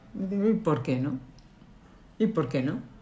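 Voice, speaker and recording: A woman speaks with lively intonation. Her voice carries an audible room echo. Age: 50s. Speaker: lawyer and cancer survivor. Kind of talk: interview.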